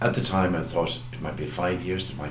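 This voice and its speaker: Audible room echo and noticeable background noise surround a man speaking with a western Irish accent. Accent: Irish (west of Ireland). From Ireland, County Mayo. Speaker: parish priest. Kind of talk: farewell address. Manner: hesitant, with frequent fillers.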